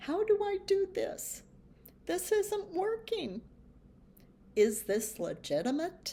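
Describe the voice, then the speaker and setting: A woman speaks at a very slow pace. Her tone is dark and mellow, with very wide pitch swings. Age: 70s. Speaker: AI tips channel host. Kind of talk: casual talk to camera.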